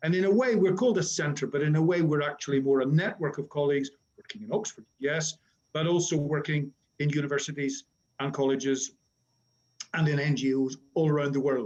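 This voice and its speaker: A man with a Northern Irish accent, fairly high pitch, ordinary pitch variation, and a fairly quick pace. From Northern Ireland. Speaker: academic conference moderator. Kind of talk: webinar introduction. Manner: hesitant with fillers.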